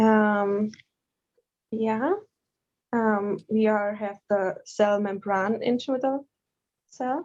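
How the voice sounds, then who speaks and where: Speaking very slowly with long, frequent pauses, a woman with a non-native accent keeps a fairly high pitch and fairly even intonation. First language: German. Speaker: yoga teacher trainee. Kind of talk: class discussion. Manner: halting.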